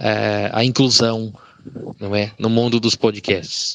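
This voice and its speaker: This man speaks very slowly at a medium pitch. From Rondonópolis, Mato Grosso, Brazil. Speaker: blind listener. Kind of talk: recorded listener message. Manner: halting.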